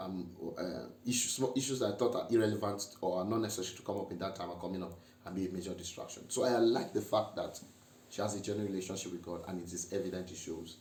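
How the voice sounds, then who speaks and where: Over audible room echo, a man with a fairly low pitch and ordinary pitch variation speaks at a very fast pace. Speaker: married couple vlogger. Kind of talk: casual chat.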